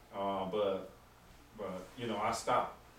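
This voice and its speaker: The speaker uses monotone, flat intonation in a Southern US accent at a fairly slow pace. Audible room echo and noticeable background noise fill the recording. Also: man. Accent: Southern US (Georgia). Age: 60s. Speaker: deputy coroner. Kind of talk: town hall talk. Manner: halting.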